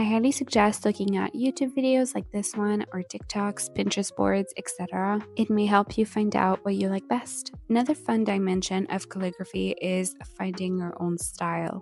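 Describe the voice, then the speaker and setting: A woman talks at a moderate pace with hardly any pauses, her pitch medium with ordinary variation. Music plays in the background. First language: French. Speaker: lettering and journaling YouTuber. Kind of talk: tutorial.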